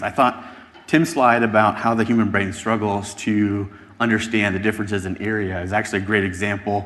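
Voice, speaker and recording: Over noticeable background noise and audible room echo, a man with fairly low pitch speaks at a moderate pace with fairly even intonation. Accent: American. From United States. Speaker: podcast host and analytics speaker. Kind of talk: conference presentation.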